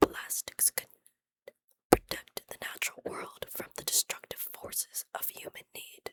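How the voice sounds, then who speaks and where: Whispering at a fairly slow pace, a woman's loudness swings widely in a dry, close sound with no echo. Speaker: ASMR creator. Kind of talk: whispered history reading. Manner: whispered, soft-spoken.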